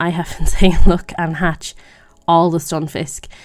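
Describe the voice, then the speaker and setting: A woman with a fairly low pitch talks at a moderate pace while music plays in the background. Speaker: gaming video creator. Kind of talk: gameplay commentary. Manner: louder than her usual quiet talk; casual, rambling with fillers.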